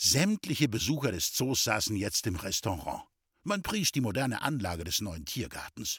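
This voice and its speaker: The voice moves at a moderate pace with very wide pitch swings and vocal fry. The recording is very clean with a silent background, and the sound is dry and close with no echo. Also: man. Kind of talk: literary audiobook reading of a satirical short story, narrated with dry irony. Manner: slightly animated, shifting tone for the characters' dialogue.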